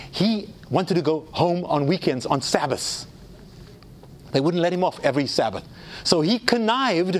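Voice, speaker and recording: With noticeable background noise behind it, the voice keeps a very even loudness and lively intonation at a moderate pace, broken by long, frequent pauses. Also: man, high pitch for a man. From South Africa. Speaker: theologian and speaker. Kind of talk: lecture. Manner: animated.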